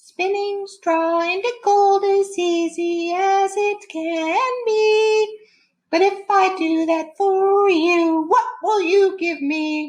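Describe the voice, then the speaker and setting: A woman performs a put-on character voice, squeaky and extremely high in pitch. She speaks at a very slow pace. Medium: read story. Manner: sing-song, rhyming.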